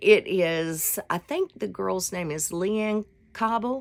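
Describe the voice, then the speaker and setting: Delivered at a very slow pace in a Southern US accent, the speech sits on a very clean recording with a silent background. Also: woman. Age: 60s. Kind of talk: casual devotional talk. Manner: casual, rambling with fillers.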